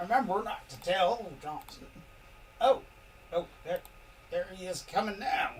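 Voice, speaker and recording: A put-on character voice at a moderate pace, with long, frequent pauses, big swings in loudness and clear background noise. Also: man, high pitch for a man. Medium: actual play. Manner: nervous.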